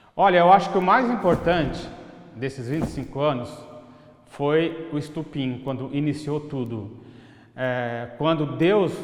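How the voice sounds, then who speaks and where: Both clear background noise and audible room echo accompany a man as he talks. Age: 60s. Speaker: business owner. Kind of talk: interview testimony.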